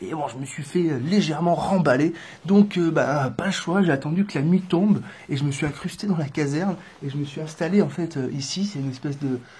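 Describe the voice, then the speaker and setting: A man's fairly high voice at a fairly quick pace, with audible room echo. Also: ordinary pitch variation. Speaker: vlogger traveling on foot. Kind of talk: casual vlog to camera. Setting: indoors in a building entrance hall. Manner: soft-spoken; hesitant, many fillers.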